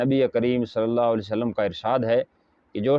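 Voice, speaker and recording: Fairly even intonation marks this man's medium-pitched, plain, everyday voice. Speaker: Islamic scholar. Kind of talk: religious sermon to camera.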